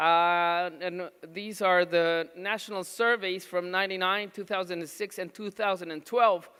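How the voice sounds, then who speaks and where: On a very clean recording with a silent background, a man speaks at a high pitch in a raised, projected voice with a bright, sharp tone. His intonation is monotone and flat, and his pace is moderate. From Mexico. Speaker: pediatric nutrition doctor. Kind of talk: conference talk. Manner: halting, many fillers.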